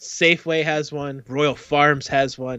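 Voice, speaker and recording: On a very clean recording with a silent background, a man talks in a bright, sharp tone. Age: 40s. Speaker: podcast co-host. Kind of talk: casual chat. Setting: live stream.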